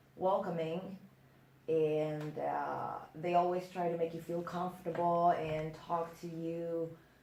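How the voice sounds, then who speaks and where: The voice comes at a very slow pace with monotone, flat intonation. Noticeable background noise and audible room echo surround it. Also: woman. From Netherlands. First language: Dutch. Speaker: exchange student. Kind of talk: interview.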